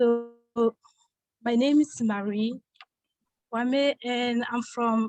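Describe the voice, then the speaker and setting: Music plays in the background as a very slow, monotone, flat voice speaks with long, frequent pauses in a dry, close sound with no echo. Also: woman, high pitch for a woman. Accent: French. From Ivory Coast. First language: French. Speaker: immigrant panelist. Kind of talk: self-introduction in forum.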